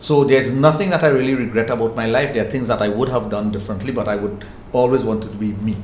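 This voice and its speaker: Amid noticeable background noise and audible room echo, a man with a Trinidadian accent talks at a very fast pace with ordinary pitch variation. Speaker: sexologist. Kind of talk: interview.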